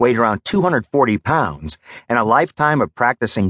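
Someone does plain reading aloud with lively intonation. The background is quiet.

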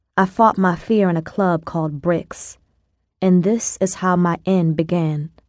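Against a quiet background, a woman uses a dramatic tone at a medium pitch and a fairly slow pace. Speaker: audiobook narrator. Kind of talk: dramatic audiobook narration, street-slang storytelling, first-person and dialogue. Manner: gritty, streetwise, dramatic, voicing characters; conversational, sassy, rhythmic.

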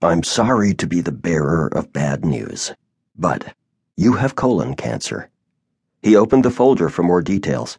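Vocal fry marks this man's very deep, low voice as he talks at a moderate pace. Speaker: audiobook narrator. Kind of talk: dramatic first-person audiobook narration. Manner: somber, measured, expressive; shifts into character voices for dialogue.

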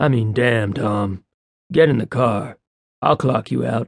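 A man puts on a character voice that is raspy and mumbling, at medium pitch. He talks fairly slowly with ordinary pitch variation. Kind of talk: casual, colloquial. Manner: laid-back, easygoing.

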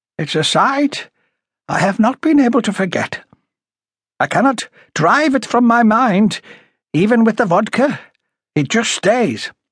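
A man's put-on character voice, high-pitched, raspy and slightly husky at the edges, fairly slow with lively intonation and long, frequent pauses.

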